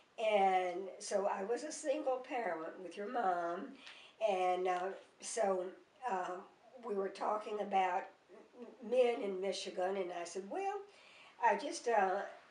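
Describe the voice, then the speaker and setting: A woman with a Mississippi accent at a very slow pace, medium in pitch with ordinary variation, amid noticeable background noise and audible room echo. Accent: Southern US (Mississippi). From US South, Mississippi. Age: 80s+. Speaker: grandmother. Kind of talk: oral history interview. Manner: halting, many fillers.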